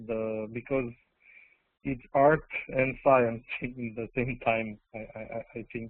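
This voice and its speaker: In a non-native accent, a man speaks at a very slow pace. His pitch is medium. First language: not English. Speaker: audience member. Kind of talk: audience question. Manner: halting.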